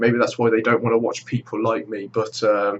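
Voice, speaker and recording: Speaking with a British accent, a man talks at a very fast pace. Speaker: gaming YouTuber. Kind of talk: vlog monologue. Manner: halting.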